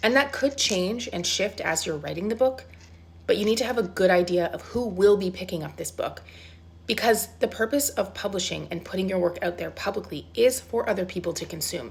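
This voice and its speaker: Speaking at a fairly quick pace, a woman uses lively intonation with vocal fry. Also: medium pitch for a woman. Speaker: self-publishing coach. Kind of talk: casual pep-talk to camera. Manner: conversational, informal.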